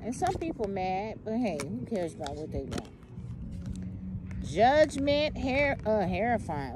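Against noticeable background noise, a woman speaks at a fairly slow pace, the sound dry with no echo. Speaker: tarot reader. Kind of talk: tarot reading to viewers. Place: open country. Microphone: phone near.

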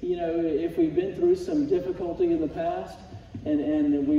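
Amid light background noise and audible room echo, a man speaks at a moderate pace with fairly even intonation. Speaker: Sunday school teacher. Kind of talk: sermon. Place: church. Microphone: camera far.

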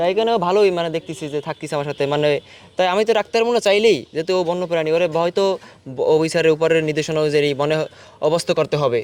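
A high-pitched man's voice with ordinary pitch variation against noticeable background noise. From Bangladesh, Jhalokati district. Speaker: forest department worker. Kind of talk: interview.

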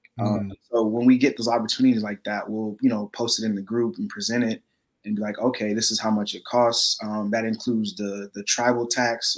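A man's medium-pitched, monotone voice at a fairly quick pace, with flat intonation and a quiet background. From Texas. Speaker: community organization member, videographer. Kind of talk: casual interview on livestream. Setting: video call livestream.

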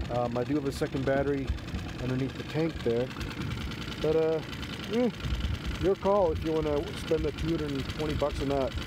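Noticeable background noise, a moderate pace, and a dry sound with no echo. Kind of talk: casual tutorial commentary. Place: boat.

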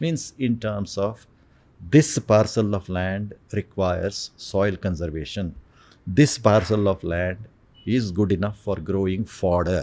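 Speaking at a fairly slow pace, a man has a fairly low voice with a dark, mellow tone. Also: ordinary pitch variation. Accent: Indian. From India. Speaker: space scientist and geologist. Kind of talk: oral history interview. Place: studio. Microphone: studio mic.

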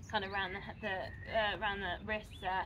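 A woman talks at a moderate pace in a bright, sharp tone. There is light background noise. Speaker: yoga instructor. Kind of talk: tutorial. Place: open country. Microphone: camera far.

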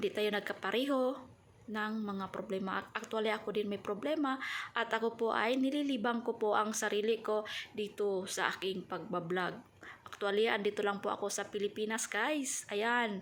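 Speaking at a moderate pace, a woman keeps her fairly high voice fairly even in intonation. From Mindanao, Philippines (Subanen). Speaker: vlogger, domestic worker. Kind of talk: casual vlog talk to camera. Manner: halting.

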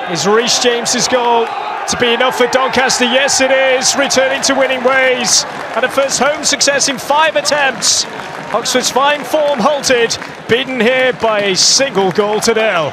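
An extremely high-pitched man's raised, projected voice, very even in loudness, at a fairly slow pace with ordinary pitch variation, crowd noise behind him. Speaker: football commentator. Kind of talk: live football match commentary. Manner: builds excitement in short bursts as chances come.

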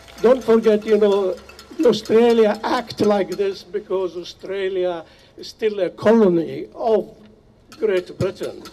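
A man's high voice at a very slow pace, with ordinary pitch variation. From Nablus, Palestine. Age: 80s+. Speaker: refugee and activist. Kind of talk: rally speech. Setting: outdoors. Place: open country. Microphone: podium.

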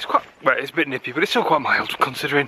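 A man speaks with a bright, sharp tone. There is a slightly husky edge to it.

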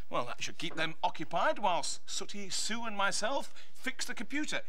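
A man talks at a moderate speed with noticeable background noise behind him. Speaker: TV presenter. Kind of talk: scripted children's TV dialogue. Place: studio.

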